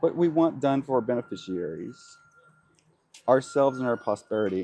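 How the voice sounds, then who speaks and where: A man at medium pitch with lively intonation and a moderate pace. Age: 60s. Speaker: interviewee. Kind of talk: interview. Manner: halting.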